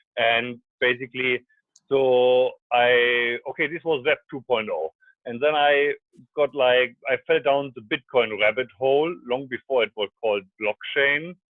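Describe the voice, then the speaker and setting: A man with a strong German accent speaks at a fairly slow pace. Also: medium pitch for a man, ordinary pitch variation. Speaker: scientist and startup founder. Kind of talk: radio interview. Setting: phone call.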